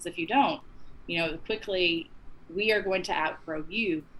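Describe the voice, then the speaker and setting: The tone is bright and sharp, in a Southern US accent. Pitch varies in an ordinary way. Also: woman. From Texas. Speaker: advocacy non-profit executive director. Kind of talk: interview answer. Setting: remote call.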